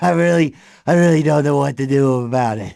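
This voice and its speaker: A man puts on a character voice at a fairly high pitch. He talks at a fairly quick pace. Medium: audio drama. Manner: nervous, giggly.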